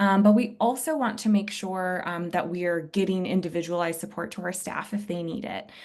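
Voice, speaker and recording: A woman talks at a moderate pace. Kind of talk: webinar presentation. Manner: hesitant with frequent um fillers.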